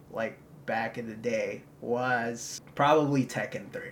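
The speaker is a man with a medium pitch. Noticeable background noise can be heard. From Philippines. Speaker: student multimedia reporter. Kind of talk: casual chat.

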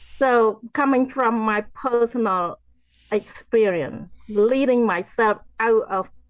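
A woman with a Cambodian accent. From Cambodia, rural farm area. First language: Khmer. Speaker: genocide survivor, author and motivational speaker. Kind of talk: interview testimony. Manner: halting, repeats words.

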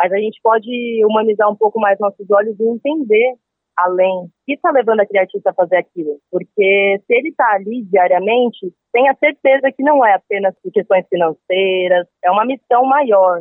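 At a moderate pace, a woman speaks in a plain, everyday voice, fairly high in pitch with ordinary pitch variation. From São Paulo coast, Brazil. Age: 20s. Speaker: street musician. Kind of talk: interview.

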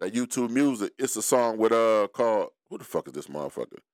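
The recording is very clean, dry and close, with a silent background and no echo. A man speaks at medium pitch with ordinary pitch variation. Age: 40s. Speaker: podcast host. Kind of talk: casual chat.

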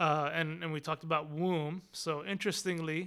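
A man with an American accent and an unremarkable speaking voice, fairly high in pitch, with fairly even intonation at a moderate pace. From US South, Austin, Texas. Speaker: imam. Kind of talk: interview. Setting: in person.

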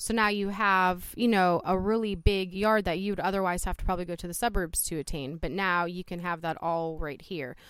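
An animated woman with a Midwestern US accent, fairly low in pitch, at a moderate pace. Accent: US Midwest. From Youngstown, Ohio (born in Poland). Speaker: city councilwoman. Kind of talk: interview. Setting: outdoors on a front porch.

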